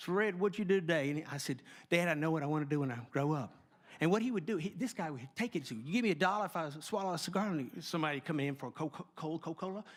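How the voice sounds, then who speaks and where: Speech with a slight Southern US accent comes very fast on a very clean recording with a silent background. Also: man, fairly high pitch for a man. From US South, LaGrange, Georgia. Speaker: sound effects artist and speaker. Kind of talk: keynote talk with storytelling. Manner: animated, with sound effects.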